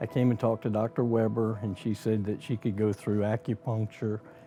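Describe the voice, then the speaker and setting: In a plain, everyday voice, a man speaks at a fairly quick pace with fairly even intonation. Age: 60s. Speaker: acupuncture patient. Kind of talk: interview testimony.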